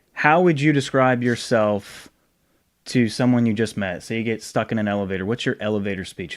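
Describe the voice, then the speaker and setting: This man has an ordinary speaking voice, a medium pitch and an American accent. He talks at a fairly quick pace with ordinary pitch variation on a very clean recording with a silent background. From Rhode Island, US Northeast. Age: 30s. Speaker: podcast host. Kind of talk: casual interview chat. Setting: home recording.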